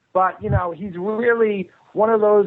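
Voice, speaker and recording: At a moderate pace, a man with a Boston accent speaks with fairly even intonation. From Boston area, Massachusetts. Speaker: filmmaker and publicist. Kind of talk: radio interview.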